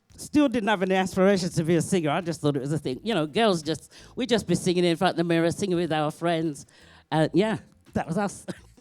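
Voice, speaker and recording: Over a silent background in a very clean recording, a woman with a fairly low pitch talks very fast. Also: ordinary pitch variation. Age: 60s. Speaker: singer. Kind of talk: interview.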